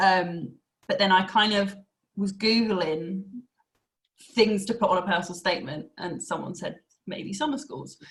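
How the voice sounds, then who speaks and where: Moderate pace with long, frequent pauses, ordinary pitch variation and a slight Essex accent. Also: woman, medium pitch for a woman. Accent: slight Essex twang. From Essex, England. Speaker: university access programme staff and former student. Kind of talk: podcast interview.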